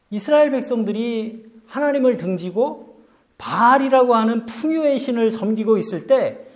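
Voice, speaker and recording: There is audible room echo as a man with an extremely high voice talks at a moderate pace with ordinary pitch variation. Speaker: pastor. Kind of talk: sermon. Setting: church.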